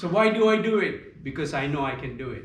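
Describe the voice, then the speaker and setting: A man at a moderate pace with ordinary pitch variation, in audible room echo. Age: 70s. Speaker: yoga teacher. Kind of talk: yoga class talk.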